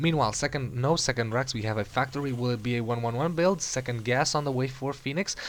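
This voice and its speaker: Speaking very fast with hardly any pauses, a man with an Eastern European accent has a medium pitch. His pitch varies in an ordinary way. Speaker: game commentator. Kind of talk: live commentary.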